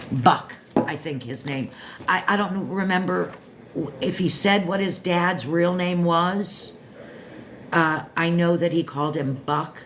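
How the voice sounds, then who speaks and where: With an American accent, the speaker goes at a very slow pace with long, frequent pauses and ordinary pitch variation, in audible room echo. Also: woman. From Florida, Pompano Beach area. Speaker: live stream host. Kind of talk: casual chat. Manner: rambling, halting.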